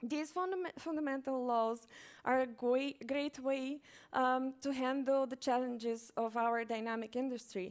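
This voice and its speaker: A woman with a non-native accent speaks at a fairly slow pace. Her pitch is high. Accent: foreign. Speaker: conference speaker, software company manager. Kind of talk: conference talk. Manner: hesitant, many fillers.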